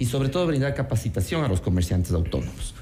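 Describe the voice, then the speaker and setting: A man speaks very fast at medium pitch, his voice swinging very widely in pitch. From Ecuador, Quito. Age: 30s. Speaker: city council candidate. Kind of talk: radio interview.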